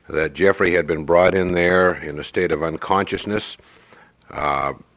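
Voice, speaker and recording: Over noticeable background noise, a man with an American accent talks at a fairly slow pace in a very deep, low pitch. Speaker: father recording a family tape. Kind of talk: casual family recording. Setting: living room at home. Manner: halting, many fillers.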